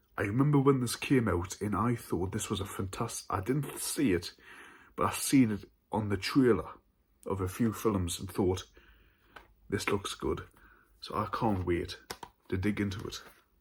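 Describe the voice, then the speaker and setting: At a moderate pace, a man with a northern English accent speaks at a fairly low pitch, somewhat breathy, with ordinary pitch variation and long, frequent pauses. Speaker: horror film YouTuber. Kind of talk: casual haul video. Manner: stuttering.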